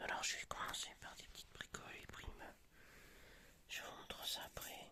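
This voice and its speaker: A man is whispering. His pace is moderate. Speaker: YouTuber showing flea market finds. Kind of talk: ASMR show-and-tell. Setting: at home. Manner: soft-spoken; hesitant, many fillers.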